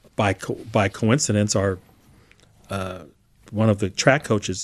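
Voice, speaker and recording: Recorded with a dry, close sound and no echo, a man with an American accent speaks at a fairly low pitch with ordinary pitch variation. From Northern California (East Bay, Albany/Berkeley). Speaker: retiring legislative chief clerk. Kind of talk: interview. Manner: hesitant, many fillers.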